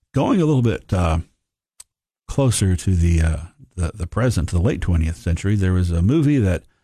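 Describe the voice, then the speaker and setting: A very deep, low-pitched male voice with a Tennessee accent, a dark, mellow tone and a somewhat breathy quality. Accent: Southern US (Tennessee). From Tennessee, Upper Cumberland. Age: 50s. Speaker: history professor. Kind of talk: history lecture. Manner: halting, many fillers.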